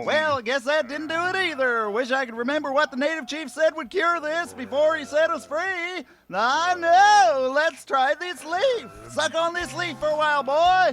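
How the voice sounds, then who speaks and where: A man puts on a drawling character voice with extremely high pitch. He keeps a moderate pace. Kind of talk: 1940s radio comedy. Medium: audio drama. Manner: folksy drawl, repeats with 'I say'.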